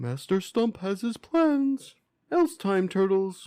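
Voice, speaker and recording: A put-on character voice from a man, pitched high and paced fairly slowly. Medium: read story. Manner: formal, courteous.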